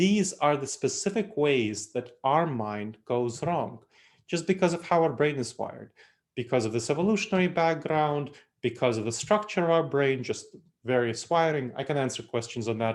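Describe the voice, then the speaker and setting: With an Eastern European accent and lively intonation, the speaker moves at a moderate pace on a very clean recording with a silent background. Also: man, fairly high pitch for a man. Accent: Eastern European accent, kept. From Moldova, then New York City. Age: 30s. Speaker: consultant and author, speaker. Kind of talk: lecture.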